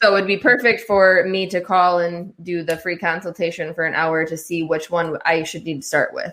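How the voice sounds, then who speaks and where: With a plain, everyday voice, a woman talks at a moderate pace with hardly any pauses, a fairly low pitch and fairly even intonation against a quiet background. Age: 30s. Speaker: podcast host. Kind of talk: interview.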